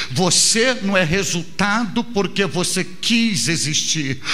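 This man's voice sits high for a man. He talks at a very slow pace with ordinary pitch variation. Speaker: preacher. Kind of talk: sermon. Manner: emphatic, driving cadence with repeated phrases; didactic, earnest, direct address to the listener. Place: church. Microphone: handheld.

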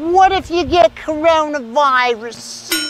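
A man's put-on character voice at an extremely high pitch, fairly bright in tone, with lively intonation and a slow pace

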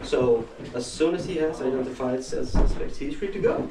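A man's speech, at a moderate pace, carries over noticeable background noise. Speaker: lawyer or official in roleplay. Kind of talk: formal explanation in staged scene. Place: empty room. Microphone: camera far.

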